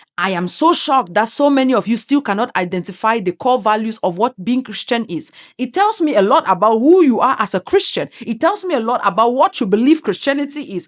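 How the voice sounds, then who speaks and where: A woman with an African accent talks at a fairly quick pace, with hardly any pauses and a fairly high pitch. Her pitch swings very widely, and the sound is dry and close with no echo. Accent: African accent, self-described. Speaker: commentary YouTuber. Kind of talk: opinion monologue. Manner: animated, emphatic.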